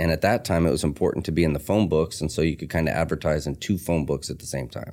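Very deep and low, a man's voice has a dark, mellow tone with vocal fry. He speaks at a very fast pace. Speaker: tattoo artist and shop owner. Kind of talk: casual interview chat, life story. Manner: rough, casual language.

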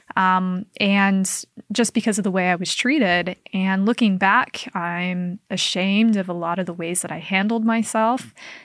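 In a very clean recording with a silent background and a dry, close sound with no echo, a woman uses an ordinary speaking voice at a medium pitch, a moderate pace and fairly even intonation. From Utah, Salt Lake area (Kaysville). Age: 20s. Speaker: cult recovery advocate. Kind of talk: interview conversation.

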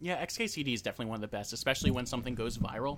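Speaking with an American accent, a man shows ordinary pitch variation. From New Jersey. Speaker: podcast co-host. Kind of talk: casual chat.

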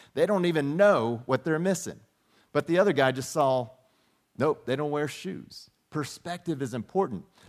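This is a plain, everyday voice from a man with fairly high pitch. He keeps a moderate pace with ordinary pitch variation. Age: 50s. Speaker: pastor. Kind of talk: sermon. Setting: church.

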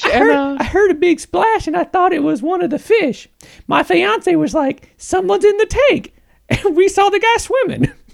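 The pitch sits extremely high in a put-on character voice. Its speed is moderate.

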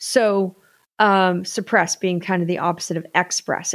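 Speaking at a fairly slow pace, a woman with a medium pitch is heard dry and close with no echo, on a very clean recording with a silent background. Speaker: podcast host. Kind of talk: solo podcast monologue about wellness. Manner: animated, conversational.

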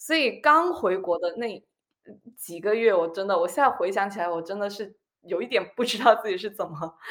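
Talking at a fairly quick pace, a woman uses an ordinary speaking voice at medium pitch with lively intonation. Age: 20s. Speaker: former colleague, blogger. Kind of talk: casual chat.

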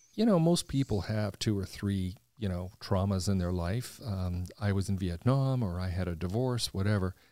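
A man's fairly low, dark, mellow voice at a moderate pace with hardly any pauses and ordinary pitch variation, on a very clean recording with a silent background. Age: 60s. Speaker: podcast host. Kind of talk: casual conversational interview.

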